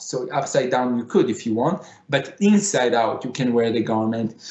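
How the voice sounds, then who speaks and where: A voice with a Middle Eastern accent and lively intonation at a moderate pace, with audible room echo and noticeable background noise. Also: man. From Israel (Tel Aviv). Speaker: fashion designer. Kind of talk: conference presentation. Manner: halting.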